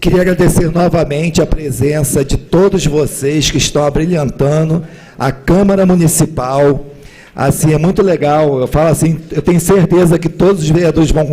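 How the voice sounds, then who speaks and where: In a hoarse, put-on character voice, a man talks at a moderate pace with fairly high pitch, fairly even intonation and very even loudness over light background noise. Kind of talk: formal.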